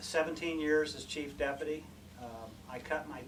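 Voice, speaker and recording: A man with a Midwestern US accent is heard with audible room echo. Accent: US Midwest. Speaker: sheriff candidate, retired police investigator. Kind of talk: campaign speech. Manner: soft-spoken.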